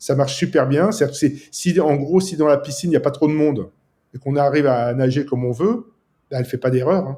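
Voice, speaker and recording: A man talks at a very fast pace, his fairly high voice somewhat breathy. His tone is dark and mellow, with ordinary pitch variation. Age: 50s. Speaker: app developer. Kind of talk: casual chat.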